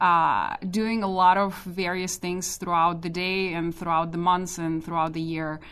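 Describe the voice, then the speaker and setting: In a Russian accent, a woman talks at a medium pitch. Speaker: database architect. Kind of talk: interview.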